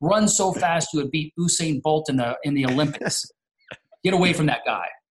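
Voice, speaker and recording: The speaker has an American accent and a somewhat breathy voice. Pitch variation is ordinary. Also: man. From US, military family, partly Alaska. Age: 40s. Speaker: entrepreneur and mentor. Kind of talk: podcast interview.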